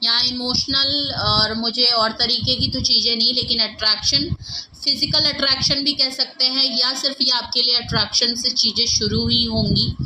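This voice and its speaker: Noticeable background noise fills the recording. The speaking pace is fairly slow. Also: woman. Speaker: tarot reader. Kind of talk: tarot reading.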